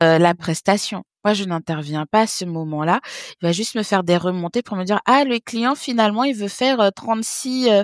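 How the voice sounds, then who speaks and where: A woman speaks at a moderate pace and medium pitch with lively intonation, in an unremarkable speaking voice. The sound is dry and close, with no echo. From French Guiana (born in Haiti). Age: 30s. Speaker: business developer and entrepreneur. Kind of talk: interview.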